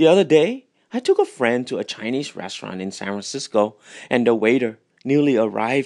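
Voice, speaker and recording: A man talks at a moderate pace and medium pitch, the sound dry and close with no echo, against a quiet background. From Vietnam. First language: Vietnamese. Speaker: author. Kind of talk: reading aloud.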